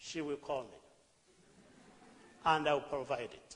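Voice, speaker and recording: A man is speaking. He has a Ugandan accent. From Uganda, rural village. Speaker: charity founder. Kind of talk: talk on stage. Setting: stage with audience.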